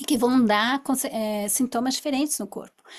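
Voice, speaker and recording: A woman speaks in a normal speaking voice at a moderate pace with ordinary pitch variation. The recording is very clean, with a silent background. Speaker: therapist. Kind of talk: lecture.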